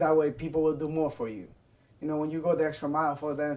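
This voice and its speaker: A man with a non-native accent speaks very fast at a fairly high pitch. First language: Spanish. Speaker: restaurant worker. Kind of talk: interview testimony.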